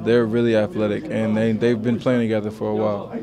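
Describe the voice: Over faint background noise, a man speaks at a moderate pace with a fairly low pitch, vocal fry, a dark, mellow tone and little pitch movement.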